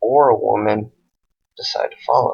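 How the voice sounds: Speaking at a fairly slow pace, a man uses a fairly low pitch.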